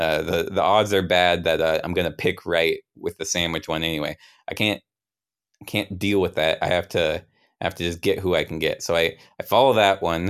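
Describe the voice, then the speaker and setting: At a moderate pace, a man talks in a very deep, low pitch with fairly even intonation. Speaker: comedian and podcast host. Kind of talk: casual live-streamed call-in show with storytelling. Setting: live stream with chat. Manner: rambling, halting, self-deprecating, laughs often.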